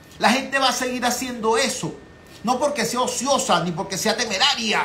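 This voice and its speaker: A man with a Venezuelan accent speaks in a raised, projected voice at an extremely high pitch, animated in tone with ordinary pitch variation, amid audible room echo and noticeable background noise. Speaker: political talk show host. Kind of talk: political commentary.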